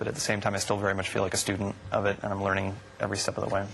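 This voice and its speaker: A man with a fairly low voice speaks at a very fast pace amid noticeable background noise. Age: 20s. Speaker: singer. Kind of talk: interview answer.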